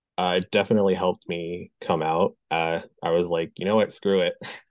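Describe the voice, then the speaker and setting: The sound is dry and close with no echo, against a quiet background. A man speaks in a very deep, low voice with monotone, flat intonation. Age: 20s. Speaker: graphic designer and aspiring wrestling manager. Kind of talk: interview conversation.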